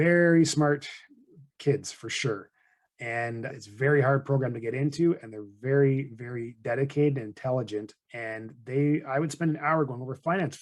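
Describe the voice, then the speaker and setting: Moderate pace in a Canadian accent with big swings in loudness. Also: man, medium pitch for a man. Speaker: financial advisor and podcast host. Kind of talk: conversational podcast explanation. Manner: monotone.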